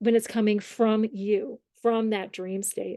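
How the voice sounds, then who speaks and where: A woman with an American accent speaks at a fairly high pitch and a fairly slow pace. Her dark, mellow tone has a dry, close sound with no echo. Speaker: dream workshop teacher. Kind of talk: workshop lecture.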